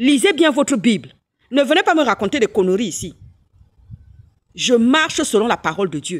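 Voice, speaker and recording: A woman speaks in a high pitch at a moderate pace, animated, with very wide pitch swings. The sound is dry and close with no echo, and the recording is very clean against a silent background. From Gabon. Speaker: political commentator, physician. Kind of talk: political rant with preaching. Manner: animated, repetitive stammering.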